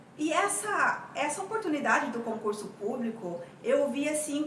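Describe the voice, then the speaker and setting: Raised, projected, high woman's voice at a fairly slow pace, with audible room echo and noticeable background noise. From Brazil, Mato Grosso do Sul. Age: 40s. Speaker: tax auditor and coach sharing her exam-study experience. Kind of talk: personal testimony. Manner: halting, many repetitions.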